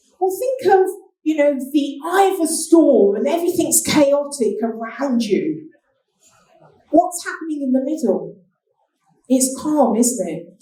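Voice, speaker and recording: A woman speaks at a fairly slow pace in a high pitch, with lively intonation and a dark, mellow tone. Long, frequent pauses break up her speech, and room echo is audible. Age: 60s. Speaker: business speaker. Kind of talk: keynote talk.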